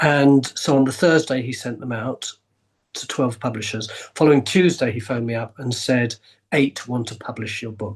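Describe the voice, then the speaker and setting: A man with an English accent, medium pitch, ordinary pitch variation, moderate pace. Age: 70s. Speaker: actor, writer, historian. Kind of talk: podcast interview answer.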